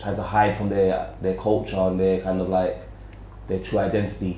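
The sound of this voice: Audible room echo surrounds this voice. A man speaks with a dark, mellow tone.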